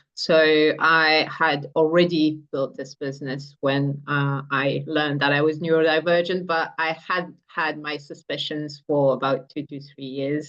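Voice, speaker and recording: A woman talks at a fairly slow pace. Her very deep, low voice stays monotone and flat. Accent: French. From France. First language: French. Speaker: entrepreneur. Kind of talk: interview.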